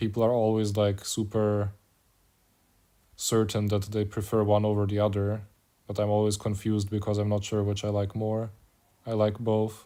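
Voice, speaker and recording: A man with a German accent, fairly low in pitch and dark, mellow in tone, flat and monotone at a moderate pace with long, frequent pauses, on a very clean recording with a silent background. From Germany. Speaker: mobile game streamer. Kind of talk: casual chat. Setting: live stream.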